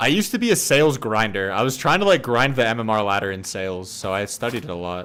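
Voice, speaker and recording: Over noticeable background noise, a man talks very fast with hardly any pauses. His medium-pitched voice has lively intonation. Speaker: streamer and dating/life coach. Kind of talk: casual live-stream chat while gaming.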